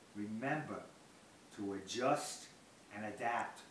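A man speaks at a very slow pace. Light background noise and audible room echo are present. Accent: American. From Bronx, New York. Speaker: birthday celebrant. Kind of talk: personal speech reading. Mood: warm, reflective. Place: home room.

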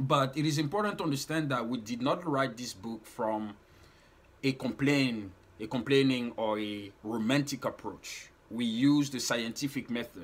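Pitch shifts in an ordinary way for this man. He talks at a moderate pace. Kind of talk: explanatory talk to camera. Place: home room. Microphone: phone near.

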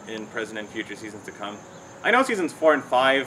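A man is speaking. Light background noise can be heard behind him. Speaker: cartoon commentary vlogger. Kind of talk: commentary. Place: garden.

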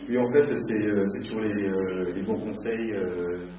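A man with a fairly low voice speaks with fairly even intonation. Light background noise and audible room echo are present. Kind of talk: moderated author interview before an audience. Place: shop.

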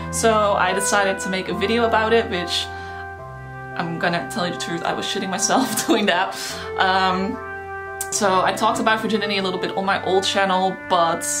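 A woman at a moderate pace with long, frequent pauses, clear music in the background. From Netherlands. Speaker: YouTuber. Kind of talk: casual talk to camera. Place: home room.

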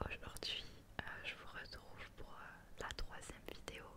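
Noticeable background noise fills the space around a woman. She whispers at a very slow pace. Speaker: ASMR creator. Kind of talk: casual intro to camera, greeting viewers. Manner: whispered, soft-spoken.

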